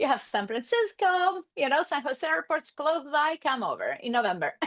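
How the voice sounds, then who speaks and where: With an Argentine accent, a woman speaks at a high pitch with very wide pitch swings. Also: moderate pace. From Argentina, Buenos Aires suburbs. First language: Spanish. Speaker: marriage and family therapist. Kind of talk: podcast interview.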